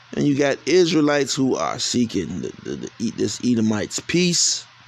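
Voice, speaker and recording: An animated man at a moderate pace over noticeable background noise. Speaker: street preacher. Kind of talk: sermon.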